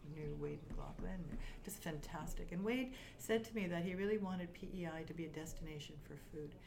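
Room echo can be heard. The talking goes at a moderate speed. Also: woman. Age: 60s. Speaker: startup consultant and coach. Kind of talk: interview.

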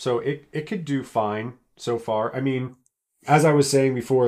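A man talks in a normal speaking voice at a moderate pace, medium in pitch with ordinary pitch variation. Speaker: podcast co-host. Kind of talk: casual chat.

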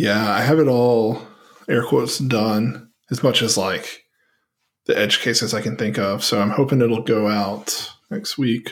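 At a fairly slow pace, a man speaks in a normal speaking voice, medium in pitch with fairly even intonation. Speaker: podcast co-host. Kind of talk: casual chat.

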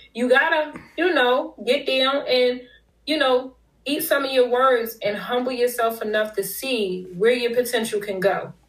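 In a high voice, a woman speaks at a fairly slow pace. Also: ordinary pitch variation. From Philadelphia, US. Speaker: business consultant and author. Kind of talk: casual interview. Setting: remote call.

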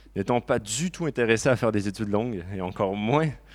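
Recorded very cleanly against a silent background, a man speaks in an ordinary speaking voice at a fairly low pitch. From Quebec, Laurentides. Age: 30s. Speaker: churchgoer giving testimony. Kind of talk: testimony.

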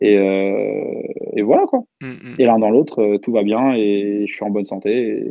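A man talks at a very slow pace with hardly any pauses. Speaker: rap culture project founder. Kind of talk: casual chat.

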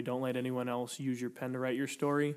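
A man speaks at a medium pitch with an American accent. The recording is very clean, with a silent background. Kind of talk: casual chat.

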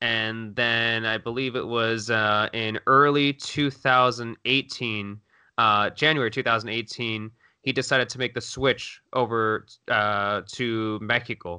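A man speaks at a fairly slow pace with a bright, sharp tone, a medium pitch and fairly even intonation, against a quiet background. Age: 30s. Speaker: soccer journalist. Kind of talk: casual chat.

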